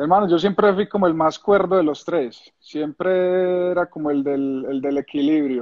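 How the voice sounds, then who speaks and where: With an Antioquian accent, a man speaks fairly slowly at a fairly high pitch, with ordinary pitch variation, hardly any pauses and a quiet background. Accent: Colombian paisa Spanish. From Colombia, Medellín. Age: 30s. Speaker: retired footballer, goalkeeper. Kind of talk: casual interview. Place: home room. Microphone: phone near.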